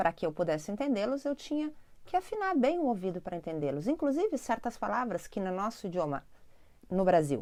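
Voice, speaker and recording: A woman with a southern Brazilian accent, a dark, mellow tone and very wide pitch swings, in a very clean recording with a silent background. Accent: gaúcho Brazilian Portuguese. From southern Brazil, Porto Alegre (Rio Grande do Sul). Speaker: spiritual teacher and channel host. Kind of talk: spiritual self-help talk to camera. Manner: conversational, addresses viewers directly.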